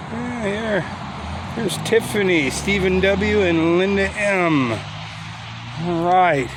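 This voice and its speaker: The speaker has a relaxed tone. Noticeable background noise and audible room echo fill the recording. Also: man. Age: 60s. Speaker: YouTuber touring cemeteries. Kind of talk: casual vlog narration. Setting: outdoors in a cemetery. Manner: relaxed, halting with fillers.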